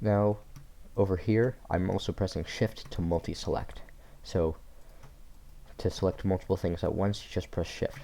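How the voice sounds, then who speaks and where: Long, frequent pauses break up a man's fairly low, dark, mellow voice. His intonation is fairly even and his loudness very even. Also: moderate pace. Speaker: tutorial creator. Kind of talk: software tutorial. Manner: casual, self-correcting.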